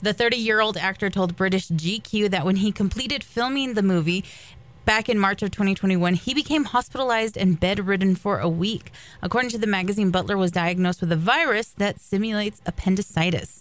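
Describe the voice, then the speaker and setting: An ordinary speaking voice moves at a fairly quick pace with very even loudness. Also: woman, medium pitch for a woman, ordinary pitch variation. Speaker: radio co-host. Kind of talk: casual chat and entertainment news reading.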